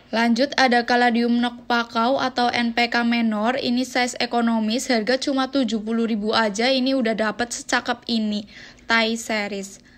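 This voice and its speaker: At a moderate pace, a woman with a high pitch talks in a monotone, flat intonation. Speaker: plant seller. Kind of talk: sales pitch. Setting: video showing plants to camera. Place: garden. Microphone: phone near.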